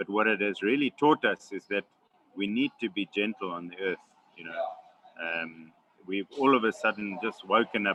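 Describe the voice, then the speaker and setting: A man talks at a moderate pace with a fairly low pitch and ordinary pitch variation. His loudness swings widely. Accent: South African. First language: Xhosa. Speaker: wildlife conservationist. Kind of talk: webinar Q&A answer. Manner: halting, many fillers and repetitions.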